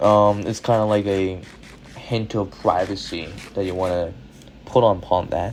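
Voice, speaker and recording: Over noticeable background noise, a man with a fairly low pitch speaks with fairly even intonation and long, frequent pauses. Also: moderate pace. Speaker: youtuber. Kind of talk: casual commentary monologue.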